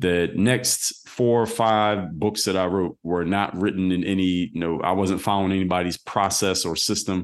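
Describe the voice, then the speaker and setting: With an American accent, a man talks at a moderate pace in a very deep, low pitch, keeping his intonation fairly even. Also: quiet background. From US Northeast, Philadelphia. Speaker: former pro basketball player turned entrepreneur. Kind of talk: interview.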